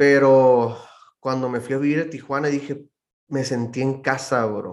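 A man's medium-pitched voice in a Baja California accent, monotone and flat in intonation. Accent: northern Mexican Spanish (Baja California). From Mexicali, Baja California, Mexico. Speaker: church musician and producer. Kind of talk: casual chat.

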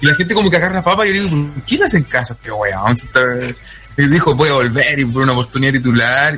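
A man talks very fast in a fairly high pitch with lively intonation. Music sits in the background. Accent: Chilean. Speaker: wrestling podcast panelist. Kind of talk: casual chat. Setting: online voice call.

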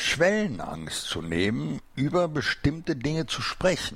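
A man's very slow delivery with very wide pitch swings. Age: 60s. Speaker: podcast host. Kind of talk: casual interview. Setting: studio.

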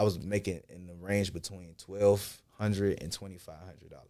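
On a very clean recording with a silent background, a man speaks at a moderate pace and fairly low pitch. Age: 20s. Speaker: rapper. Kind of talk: casual chat.

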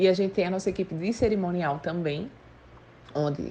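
The speaker is a woman with a dark, mellow tone. She talks at a moderate pace with ordinary pitch variation. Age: 20s. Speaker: entrepreneur. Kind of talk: interview.

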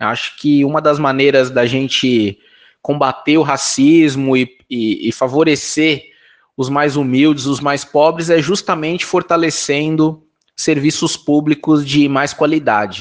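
A man with an unremarkable speaking voice and a fairly high pitch talks with fairly even intonation. The background is quiet. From Brazil, São Paulo (north zone). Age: 40s. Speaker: political candidate, activist. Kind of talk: interview.

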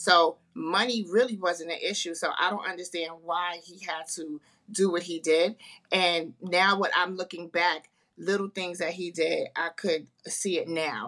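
A woman with a New York accent speaks at a fairly slow pace and a fairly low pitch. Her tone is bright and sharp, and her intonation fairly even. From Harlem, New York. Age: 50s. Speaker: author and breast cancer survivor. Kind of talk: casual interview.

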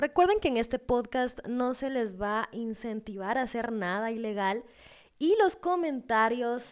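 Speaking at a fairly slow pace, the voice carries lively intonation. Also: woman, very clean recording, silent background. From Guatemala. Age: 20s. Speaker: podcast host. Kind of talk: casual monologue.

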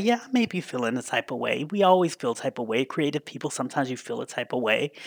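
In a dry, close recording with no echo, a man speaks in an animated tone at a very fast pace. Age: 50s. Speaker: podcast host and pop culture writer. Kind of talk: casual chat.

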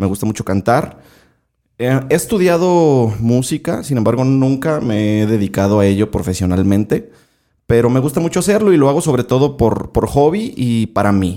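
A man with a dark, mellow tone speaks at a moderate pace on a very clean recording with a silent background. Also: medium pitch for a man, lively intonation. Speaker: podcaster and radio announcer, singer-songwriter. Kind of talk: casual interview chat. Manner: halting, frequent repetitions.

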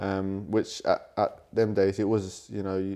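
Monotone, flat intonation in a London accent over a quiet background. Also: man. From London, England. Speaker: Muay Thai world champion fighter. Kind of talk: interview conversation.

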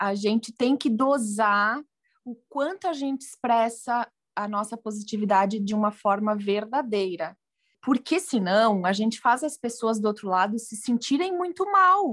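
Lively intonation from a woman with fairly high pitch and an ordinary speaking voice, at a fairly slow pace. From southern Brazil, Rio Grande do Sul. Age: 30s. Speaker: journalist and food blogger. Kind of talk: casual interview chat.

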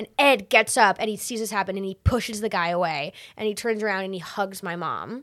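With an American accent and an ordinary speaking voice, a woman talks at a fairly quick pace and medium pitch with ordinary pitch variation, on a very clean recording with a silent background. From Massachusetts. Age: 20s. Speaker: comedian and playwright. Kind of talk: casual chat. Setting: studio.

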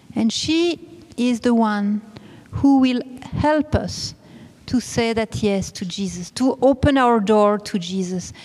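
A woman with a non-native accent speaks at a very slow pace and a high pitch. Noticeable background noise runs behind her. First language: not English. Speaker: preacher at a religious retreat. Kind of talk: sermon. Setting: church.

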